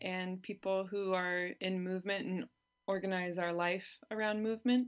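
A woman with an American accent speaks in a plain, everyday voice with fairly even intonation against a quiet background. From California. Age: 30s. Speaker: activist and author. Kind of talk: interview.

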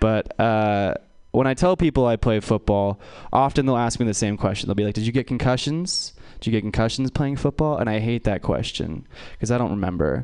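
In an American accent, a man with an unremarkable speaking voice talks at a fairly quick pace, the sound dry and close with no echo. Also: medium pitch for a man. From US West Coast. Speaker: stand-up comedian. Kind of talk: stand-up. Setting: stage with audience.

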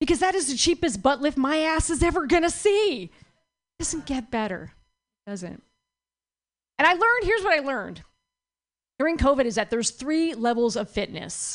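Very wide pitch swings mark this animated voice, which keeps a moderate pace broken by long, frequent pauses. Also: woman. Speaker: stand-up comedian. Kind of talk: stand-up comedy. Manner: animated, punchy, sassy.

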